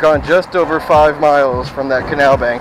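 A man at a fairly slow pace with fairly even intonation, music in the background, and a dry sound with no echo. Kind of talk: casual ride commentary. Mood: relaxed, cheerful. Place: bicycle. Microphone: phone near.

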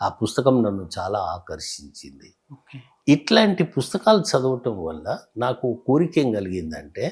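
With big swings in loudness and very wide pitch swings around a medium pitch, a man speaks with vocal fry on a very clean recording with a silent background. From Hyderabad Old City, Telangana, India. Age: 70s. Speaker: author and retired tax officer. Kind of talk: interview.

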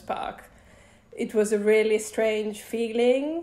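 Her pitch varies in an ordinary way as the woman talks. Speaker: guest. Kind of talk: interview answer. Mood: relaxed, cheerful. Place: home room. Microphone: video call.

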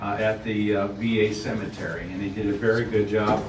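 A man speaks at a fairly low pitch in a flat monotone. Background noise is noticeable. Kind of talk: public meeting remarks. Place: meeting room. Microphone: pa.

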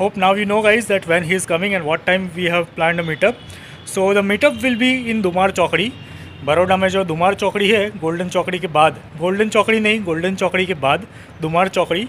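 Light background noise sits under a man talking at a fairly quick pace in a high pitch. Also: ordinary pitch variation. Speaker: vlogger. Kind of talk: casual vlog chat. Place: street. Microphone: phone near.

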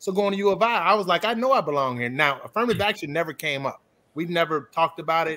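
A man at a very fast pace, fairly high in pitch and lively in intonation. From Chicago area, Illinois; Illinois. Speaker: accountant; panelist. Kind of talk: panel discussion. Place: home room.

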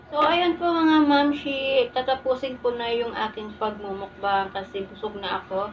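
Light background noise sits behind a woman speaking at a fairly slow pace in a high pitch. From Philippines. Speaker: mukbang vlogger. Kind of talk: casual vlog talk to camera. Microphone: phone camera; phone near.

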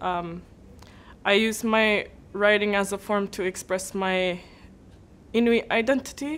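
Fairly even intonation marks the way this woman talks. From Nunavut, Canadian Arctic (Igloolik); Nunavut, Canada. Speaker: writer. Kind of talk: interview talk. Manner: hesitant, many fillers. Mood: calm, proud. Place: classroom.

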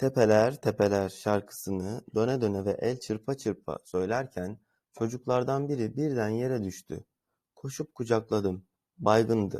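In a dry, close sound with no echo, a man's tone comes across dark and mellow. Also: very clean recording, silent background. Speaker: Turkish language teacher. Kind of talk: tutorial.

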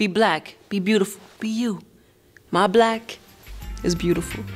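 With music playing behind her, a woman speaks fairly slowly at a medium pitch with fairly even intonation. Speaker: spoken word poet and actor. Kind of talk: spoken word poetry in a TV commercial.

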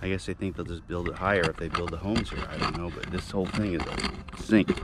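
Music plays in the background of a dry recording with no echo. A man speaks with a very deep, low pitch and fairly even intonation. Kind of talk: casual vlog chat. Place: bicycle. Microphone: phone near.

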